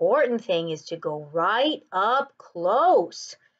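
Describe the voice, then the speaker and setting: A woman's put-on character voice at a medium pitch. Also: fairly slow pace. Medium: read story.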